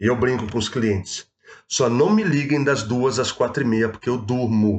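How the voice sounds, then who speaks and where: In a Rio de Janeiro accent, a man speaks at a moderate pace. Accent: carioca. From Rio de Janeiro state, Baixada Fluminense. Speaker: proptech entrepreneur. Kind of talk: casual chat. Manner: animated.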